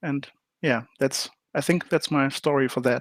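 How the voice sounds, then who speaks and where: Someone speaks at a moderate pace with a German accent and fairly even intonation. The recording is very clean, with a silent background. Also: man. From Germany. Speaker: board game designer. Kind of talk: interview. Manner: hesitant, many fillers.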